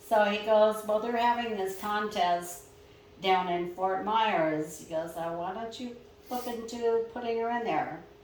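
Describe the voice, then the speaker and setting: A woman with a medium-pitched voice speaks at a fairly slow pace amid noticeable background noise and audible room echo. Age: 70s. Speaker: masters powerlifter. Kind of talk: podcast interview. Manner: casual, conversational.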